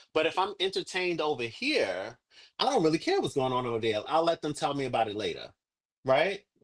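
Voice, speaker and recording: Over a quiet background, a man with a fairly high pitch talks loud and at a fairly quick pace, with very wide pitch swings, an animated, energetic tone and vocal fry. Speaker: livestream coach / agency mentor. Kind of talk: online workshop / coaching session.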